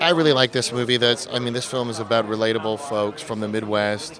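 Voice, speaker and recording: A medium-pitched man with an American accent, fairly quick pace and fairly even intonation, amid noticeable background noise. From Phoenix, Arizona, US. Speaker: film director. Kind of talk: red carpet interview. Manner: hesitant, with fillers.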